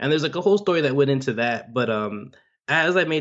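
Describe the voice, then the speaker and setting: Speaking at a very fast pace, a man with an American accent uses ordinary pitch variation. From Miami, Florida, US. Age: 20s. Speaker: finance podcaster. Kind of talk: interview. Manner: casual, many fillers.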